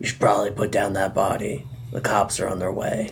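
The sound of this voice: A man puts on a gruff, raspy character voice with fairly low pitch. He talks at a fairly quick pace.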